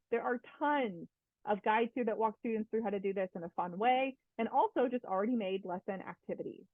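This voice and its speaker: The woman keeps a fairly quick pace. Her pitch variation is ordinary. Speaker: instructional technology coach. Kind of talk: webinar presentation. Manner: fast.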